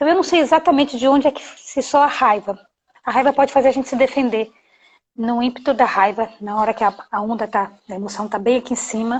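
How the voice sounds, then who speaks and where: This woman speaks at a fairly quick pace with ordinary pitch variation. Her pitch is high. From Bahia, Brazil (Salvador). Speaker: anti-bullying educator, live stream host. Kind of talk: live stream talk. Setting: live video stream. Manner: animated. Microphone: connection freezing.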